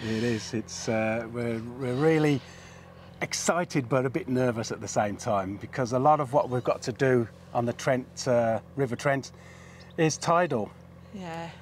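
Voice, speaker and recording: Light background noise sits under a dry sound with no echo as the voice moves at a fairly slow pace with ordinary pitch variation. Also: man. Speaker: boat vlogger. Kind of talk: casual vlog chat. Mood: excited but a bit nervous. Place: waterside.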